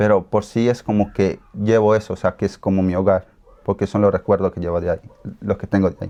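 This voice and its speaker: In an Ecuadorian accent, a man speaks with a dark, mellow tone at a fairly low pitch. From Colombia, raised in Ecuador. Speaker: interviewee. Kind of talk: interview. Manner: halting.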